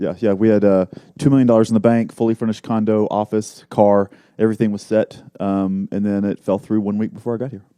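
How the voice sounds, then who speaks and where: In a slight Texas accent, a man talks at a very fast pace with a monotone, flat intonation, a fairly low pitch and a dark, mellow tone, in a dry, close sound with no echo. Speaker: marketing entrepreneur. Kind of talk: casual interview.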